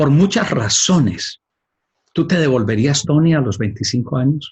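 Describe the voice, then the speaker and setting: Speaking at a fairly slow pace, a man with a fairly high pitch sounds somewhat breathy, his intonation lively and his loudness very even. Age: 60s. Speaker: life coach, podcast host. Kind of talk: casual chat.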